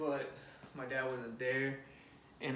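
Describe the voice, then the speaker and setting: With noticeable background noise and audible room echo, a man speaks in a Spanish accent. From California and Tijuana area. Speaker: fitness vlogger. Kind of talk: casual vlog talk while doing chores. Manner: halting, many fillers and restarts.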